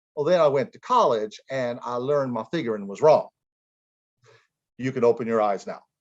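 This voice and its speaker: The speaker is a man with an American accent, talking at a moderate pace. The background is quiet. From US Midwest, southern Ohio near Kentucky. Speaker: theater professor. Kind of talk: storytelling in dialect; lecture.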